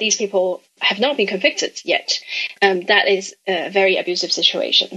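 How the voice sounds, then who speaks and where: A woman with a normal speaking voice talks at a moderate pace, her medium pitch showing ordinary variation. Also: very even loudness. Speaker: human rights researcher. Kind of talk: interview answer.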